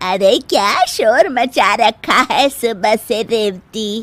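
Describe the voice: Using a cartoonish character voice, a woman speaks at a fairly high pitch with lively intonation and a very slow pace.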